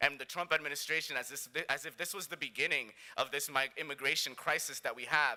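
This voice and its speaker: The man's tone is bright and sharp. His delivery is very fast. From New York City, the Bronx. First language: Spanish. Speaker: conference plenary speaker. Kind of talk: speech.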